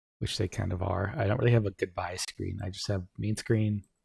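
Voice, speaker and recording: A man with a fairly low pitch and ordinary pitch variation speaks in a dark, mellow, somewhat breathy tone, with a dry, close sound and no echo. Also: very clean recording, silent background. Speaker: streamer. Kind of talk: casual chat. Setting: live stream from home. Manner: soft-spoken.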